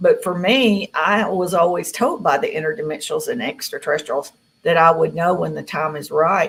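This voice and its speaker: With a Southern US accent, a woman speaks at a moderate pace. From Tennessee. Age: 60s. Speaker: contactee. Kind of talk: interview.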